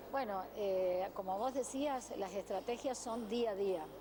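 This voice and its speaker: There is noticeable background noise as a woman speaks at a fairly slow pace. Her pitch variation is ordinary. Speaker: blood bank official. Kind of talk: news interview.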